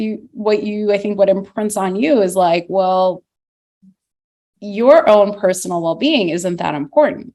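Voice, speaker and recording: At a fairly slow pace, a woman speaks at medium pitch in an unremarkable speaking voice. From Russia, moved to US at eight. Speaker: parent discussing mental fitness. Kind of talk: casual chat.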